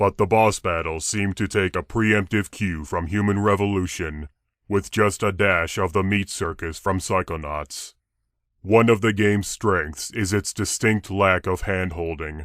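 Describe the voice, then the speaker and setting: A man's put-on character voice, very deep and low, deadpan, at a moderate pace in a very clean recording with a silent background. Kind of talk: game review parody. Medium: solo performance. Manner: slow, flat monotone, states emotion before speaking.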